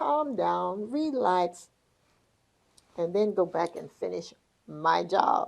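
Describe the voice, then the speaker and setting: A very slow woman's voice with a Southern US accent. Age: 80s+. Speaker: podcast host. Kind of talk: casual interview chat.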